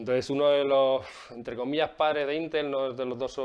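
A man speaks at a medium pitch. Noticeable background noise can be heard behind him. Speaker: agile coach / video creator. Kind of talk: explanatory video talk. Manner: casual, with frequent fillers and repetitions; fast.

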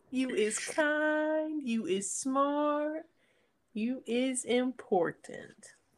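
A female-sounding, put-on character voice, high in pitch and very slow in pace. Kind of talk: playful silly voice. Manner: affirming, sweet.

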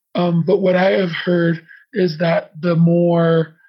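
With a flat, monotone delivery, a man with an American accent speaks at a high pitch. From Navajo reservation, US Southwest. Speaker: interview guest. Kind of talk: interview. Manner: halting, many fillers.

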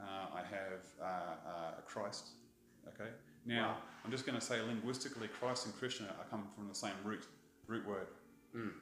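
With an Australian accent, a man with a fairly low pitch speaks at a moderate pace and fairly even intonation, leaving long, frequent pauses. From Australia (Brisbane), born in England. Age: 50s. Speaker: tattoo artist. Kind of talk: casual chat.

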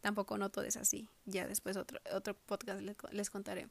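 A woman at a moderate pace. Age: 20s. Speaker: podcaster. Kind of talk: personal monologue. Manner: halting.

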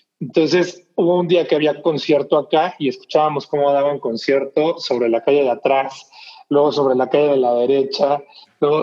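A man speaks at a fairly high pitch and a moderate pace. His intonation is fairly even. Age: 40s. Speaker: basketball podcast host. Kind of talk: casual chat. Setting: home recording.

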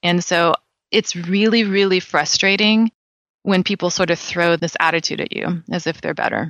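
Recorded dry and close with no echo, a woman with an American accent speaks in a fairly low voice at a moderate pace with fairly even intonation. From California. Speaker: dermatologist. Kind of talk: interview.

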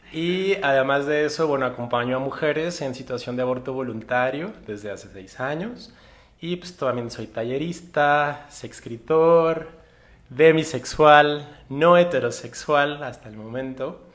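A man with an unremarkable speaking voice talks at a fairly slow pace, his fairly high pitch showing ordinary variation and his loudness swinging widely. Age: 30s. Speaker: physician and sexologist. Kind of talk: interview. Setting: live stream from community centre.

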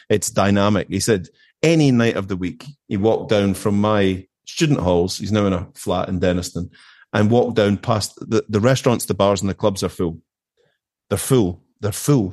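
A man talks in a Glaswegian accent at a fairly low pitch and a moderate pace, with ordinary pitch variation. The background is quiet. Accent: Glaswegian Scottish. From west of Scotland (Erskine, near Glasgow). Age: 50s. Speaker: managing director. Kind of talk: casual chat.

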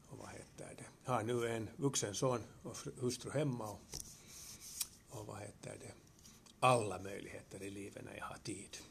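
Speaking with a Finland-Swedish accent, a man with a fairly low pitch and ordinary pitch variation moves at a moderate pace, leaving long, frequent pauses, with big swings in loudness and audible room echo. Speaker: retired teacher. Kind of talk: interview. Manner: halting.

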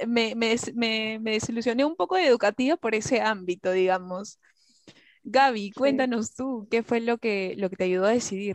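At a fairly slow pace, a woman talks in a normal speaking voice with a fairly high pitch, the sound dry and close with no echo against a quiet background. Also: ordinary pitch variation. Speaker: psychology student podcast host. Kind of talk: casual panel chat.

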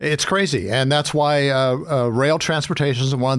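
In a very clean recording with a silent background, a man with an American accent and an unremarkable speaking voice talks at medium pitch and a moderate pace. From western Pennsylvania. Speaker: academic, rail advocate. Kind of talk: radio interview.

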